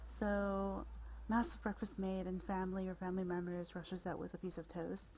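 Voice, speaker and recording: A soft-spoken, somewhat breathy woman of medium pitch, her tone dark and mellow, calm and relaxed. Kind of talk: relaxing bedtime article reading and casual commentary. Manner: soft-spoken, calm, relaxed.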